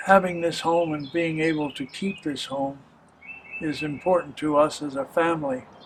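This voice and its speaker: Noticeable background noise behind a man with an American accent, fairly high in pitch, fairly even in intonation and moderate in pace. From US Northeast, New Jersey. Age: 80s+. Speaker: local videographer, retired business owner. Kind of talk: interview testimony.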